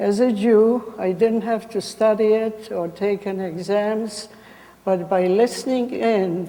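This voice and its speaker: A woman with a Polish accent speaks at a fairly slow pace with fairly even intonation. Noticeable background noise runs beneath her. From Poland. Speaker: Holocaust survivor. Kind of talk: testimony.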